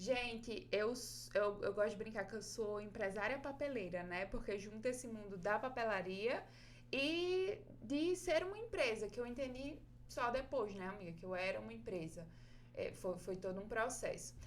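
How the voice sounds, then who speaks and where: A woman with a northeastern Brazilian accent speaks at a fairly high pitch with vocal fry. Audible room echo surrounds her voice. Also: lively intonation, moderate pace. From Brazil, Northeast (Rio Grande do Norte, small town). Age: 20s. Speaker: paper craft artist and teacher, podcast host. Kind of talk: interview, casual chat.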